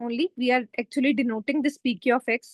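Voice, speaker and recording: A high-pitched woman's voice with an Indian accent. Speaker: tutor. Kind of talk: online tutorial.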